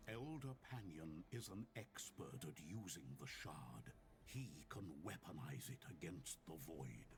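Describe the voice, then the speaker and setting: Over loud background noise, a man uses a put-on character voice with a very deep, low pitch at a fairly slow pace. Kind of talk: fantasy game narration. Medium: video game. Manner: solemn, earnest.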